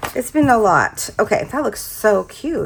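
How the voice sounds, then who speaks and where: A woman speaks with vocal fry. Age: 50s. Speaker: planner hobby vlogger. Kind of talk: casual craft tutorial chat. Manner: casual, hesitant with fillers.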